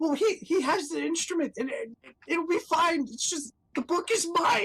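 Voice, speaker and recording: In a put-on character voice pitched extremely high, the speaker sounds nervous and keeps a moderate pace. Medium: actual play. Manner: stammering, nervous.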